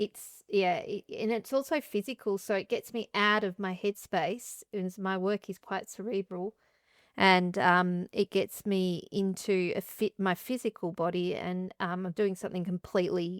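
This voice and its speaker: A woman with an Australian accent speaks at a medium pitch and a fairly slow pace, with fairly even intonation. The sound is dry and close with no echo, on a very clean recording with a silent background. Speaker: interdisciplinary artist and composer. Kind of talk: interview conversation. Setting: artist studio.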